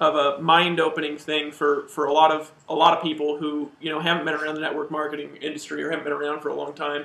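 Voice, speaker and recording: Over noticeable background noise, a man with a fairly high pitch speaks at a very fast pace in a flat monotone, with hardly any pauses. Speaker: network marketing company co-founder. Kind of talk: live training webinar. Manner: hesitant with many repeated words.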